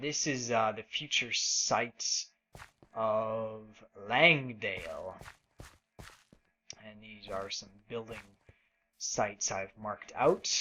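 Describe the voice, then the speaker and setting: A man with a medium-pitched voice speaks at a very slow pace, leaving long, frequent pauses, his loudness swinging widely. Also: ordinary pitch variation. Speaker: gaming video blogger. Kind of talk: let's play commentary. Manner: low energy.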